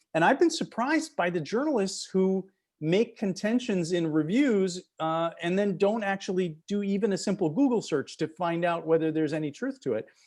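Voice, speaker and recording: In an American accent, a man talks at a moderate pace in a high pitch. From Wisconsin, US Midwest. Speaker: author and playwright. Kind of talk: author interview. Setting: video call.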